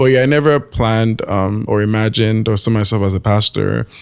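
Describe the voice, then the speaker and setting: On a very clean recording with a silent background, a man speaks at a moderate pace in a fairly low voice. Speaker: pastor. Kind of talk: interview. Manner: soft-spoken.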